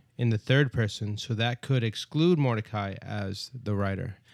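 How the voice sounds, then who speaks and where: An ordinary speaking voice comes through with fairly even intonation. The recording is very clean, with a silent background and a dry, close sound with no echo. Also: man. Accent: American. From New York, Brooklyn. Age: 30s. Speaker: bible study podcast host. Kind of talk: casual bible study discussion.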